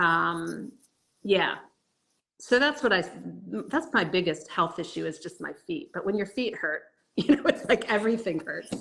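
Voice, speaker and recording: Vocal fry runs through this voice at a moderate pace, with very wide pitch swings and big swings in loudness. Long pauses come often. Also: woman, medium pitch for a woman, quiet background. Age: 60s. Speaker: fitness coaching client. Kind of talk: casual interview.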